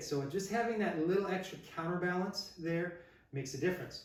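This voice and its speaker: Here a man talks at a moderate pace with a high pitch and ordinary pitch variation. Room echo is audible and background noise is noticeable. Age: 60s. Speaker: martial arts instructor. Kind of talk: product review tutorial. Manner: casual, thinking aloud.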